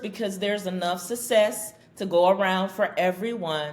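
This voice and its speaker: The speaker moves at a fairly slow pace over noticeable background noise. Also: woman. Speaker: business strategy consultant. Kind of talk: podcast interview. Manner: loud.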